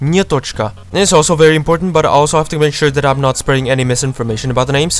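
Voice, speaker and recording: Over noticeable background noise, a man with a fairly high pitch and a Czech accent talks with ordinary pitch variation. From Czech Republic. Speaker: gaming YouTuber. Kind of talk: casual gameplay commentary. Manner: animated.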